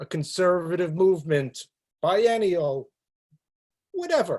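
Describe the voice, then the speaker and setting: Using a New York accent, a man talks at a fairly slow pace. His pitch is fairly high. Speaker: rabbi. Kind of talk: talk on a religious topic.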